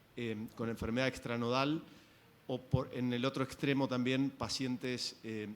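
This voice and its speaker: Speaking at a very fast pace, the man has a medium pitch, an Argentine accent, and monotone, flat intonation. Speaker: physician asking question. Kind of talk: audience question at medical symposium.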